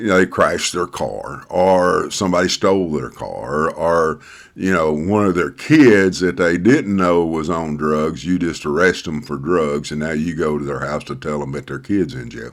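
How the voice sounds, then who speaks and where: A man with a Southern US accent, very deep and low in pitch with vocal fry, at a moderate pace with ordinary pitch variation and hardly any pauses. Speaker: pastor. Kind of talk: casual talk to camera. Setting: home study. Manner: halting, many fillers.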